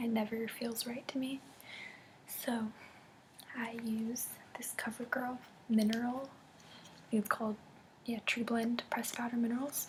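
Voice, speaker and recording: Whispering at a moderate pace, a soft-spoken woman leaves long, frequent pauses amid noticeable background noise. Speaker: makeup vlogger. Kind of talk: casual talk to camera. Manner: soft-spoken, whispery.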